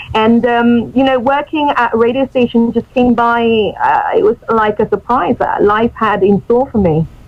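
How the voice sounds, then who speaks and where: At a moderate pace, a woman with a British accent speaks in a fairly high voice with ordinary pitch variation and very even loudness. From Mexico, partly raised in English Midlands. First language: Spanish. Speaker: radio presenter and English teacher. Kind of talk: radio interview.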